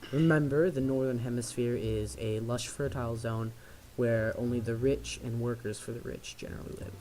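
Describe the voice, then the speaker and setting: A soft-spoken man talks in a dark, mellow tone with fairly even intonation. Room echo is audible. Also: medium pitch for a man, moderate pace. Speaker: tabletop game master. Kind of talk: tabletop game narration.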